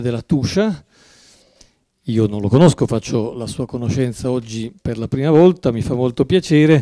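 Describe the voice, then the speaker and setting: Lively intonation marks a man's medium-pitched voice with a dark, mellow tone at a moderate pace. The background is quiet and the sound dry with no echo. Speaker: moderator. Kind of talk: formal introductions. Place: classroom. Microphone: podium.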